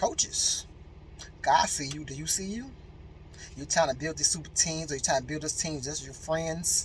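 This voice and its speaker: An animated tone at a moderate pace, with big swings in loudness and long, frequent pauses. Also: man. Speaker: motivational speaker. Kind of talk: motivational talk.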